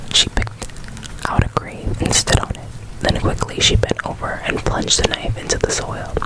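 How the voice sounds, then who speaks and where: Over noticeable background noise comes whispering at a moderate pace. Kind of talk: scary story reading. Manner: whispered, soft.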